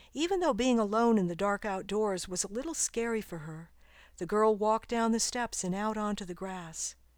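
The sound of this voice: Someone reads in an unforced reading voice.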